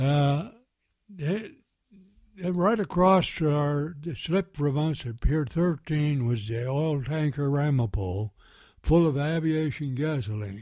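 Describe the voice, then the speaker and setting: A man's intonation rises and falls in a lively way while he talks very slowly. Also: very clean recording, silent background. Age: 80s+. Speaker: war veteran. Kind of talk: interview answer. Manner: hesitant, halting.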